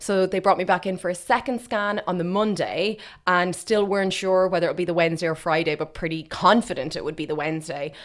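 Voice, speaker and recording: A woman with an Irish Midlands accent at medium pitch, very fast and with hardly any pauses, ordinary pitch variation, on a very clean recording with a silent background. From Ireland, Westmeath. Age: 30s. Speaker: fertility clinic operations manager. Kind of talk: interview about personal experience. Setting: studio. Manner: animated.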